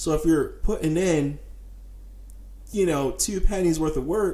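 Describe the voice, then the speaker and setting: There is audible room echo around the voice. A man speaks, somewhat breathy. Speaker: podcast host and entrepreneur. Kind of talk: solo podcast monologue. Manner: fast; casual, with many fillers.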